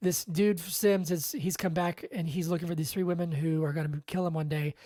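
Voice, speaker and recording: A woman mumbling in a somewhat breathy voice. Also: fairly low pitch for a woman, fairly even intonation, fairly quick pace. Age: 30s. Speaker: podcast host. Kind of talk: casual chat. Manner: fast.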